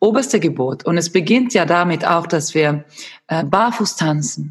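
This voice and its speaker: A woman with a Swedish accent speaks at a fairly slow pace. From Sweden. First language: Swedish (speaking German). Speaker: movement and fitness instructor. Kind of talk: casual interview. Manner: halting.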